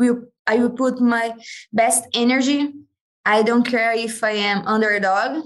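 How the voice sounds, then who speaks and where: A woman's fairly high voice in a Brazilian accent at a very slow pace. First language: Portuguese. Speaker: MMA fighter. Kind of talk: casual interview.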